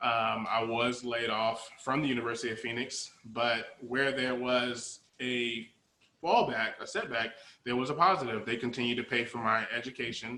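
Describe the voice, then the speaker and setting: A man with an American accent has an unremarkable speaking voice at medium pitch. His intonation is fairly even and his pace moderate. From New Jersey (Jersey City). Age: 30s. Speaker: interview guest. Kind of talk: interview.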